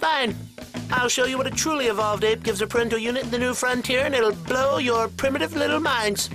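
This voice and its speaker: Using a put-on character voice, a man speaks at an extremely high pitch and a very fast pace over clear music in the background. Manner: condescending, showy.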